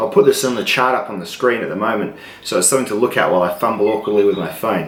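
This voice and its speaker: There is noticeable background noise behind this man. He talks at a very fast pace with a medium pitch. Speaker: knife reviewer. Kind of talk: product review tutorial.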